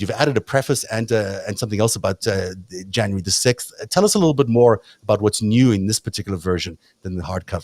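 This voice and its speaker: Very fast, lively speech from a man with a South African accent, medium in pitch, with a dry, close sound, no echo, and a very clean, silent background. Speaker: talk show host. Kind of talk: casual interview chat.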